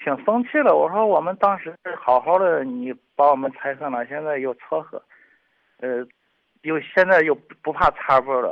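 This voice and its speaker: Here is a man with an unremarkable speaking voice and fairly high pitch. He talks at a moderate pace with lively intonation. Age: 40s. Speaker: caller. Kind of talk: personal testimony on call-in radio.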